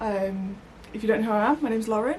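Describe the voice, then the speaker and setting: A woman in a West Midlands accent, fairly high-pitched and very fast, with noticeable background noise. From West Midlands, England. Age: 30s. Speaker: crafting vlogger. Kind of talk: casual vlog chat. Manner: hesitant, many fillers.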